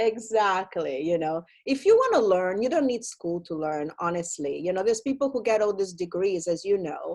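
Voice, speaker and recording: With an Italian accent, a woman speaks at a moderate pace and medium pitch in an animated tone, her intonation lively and hardly any pauses between phrases. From Italy. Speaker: film producer and entertainment consultant. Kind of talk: casual interview chat.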